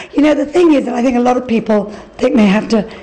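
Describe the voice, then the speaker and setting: A woman speaks with an English accent at a fairly quick pace and ordinary pitch variation, amid noticeable background noise and audible room echo. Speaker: interior designer. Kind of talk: interview.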